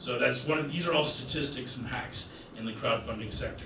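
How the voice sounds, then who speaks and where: Music plays in the background as a man speaks at a moderate pace. His voice is fairly high-pitched, with lively intonation. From Nova Scotia, Canada. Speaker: crowdfunding and capital raising expert. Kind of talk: business seminar talk.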